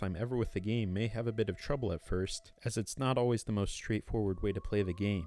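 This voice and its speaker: Very fast speech from a man at a fairly low pitch, with music in the background. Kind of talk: video game review narration. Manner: monotone.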